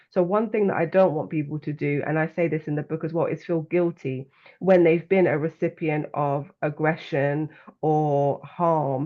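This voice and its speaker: A woman with a London accent speaks at a moderate pace. Her pitch is very deep and low, and her intonation is fairly even. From London, England. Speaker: well-being coach and author. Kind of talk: interview conversation.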